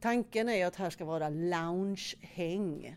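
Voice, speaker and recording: Woman with an Östergötland accent, a fairly low, dark, mellow voice and lively intonation. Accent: Östergötland dialect from Norrköping. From Norrköping, Sweden. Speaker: hotel director. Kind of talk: interview during a guided tour. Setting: walking tour inside a hotel.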